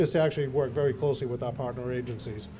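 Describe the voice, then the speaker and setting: This man's voice is dark, mellow and somewhat breathy, with a Massachusetts accent. He talks at a fairly quick pace with fairly even intonation. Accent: Massachusetts (own remark on dialect). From central Massachusetts. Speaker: health plan executive. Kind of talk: speech at a community event. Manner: halting, many filler words.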